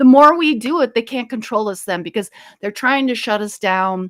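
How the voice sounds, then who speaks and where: This voice has an American accent and lively intonation. The pace is moderate. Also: woman. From US Midwest, Minnesota (Fridley). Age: 60s. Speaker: author and paranormal experiencer. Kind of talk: interview. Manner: animated.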